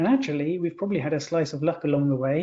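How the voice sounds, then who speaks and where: A man's fairly high-pitched voice with a British accent. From Britain. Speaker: culture and innovation consultant. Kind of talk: webinar discussion.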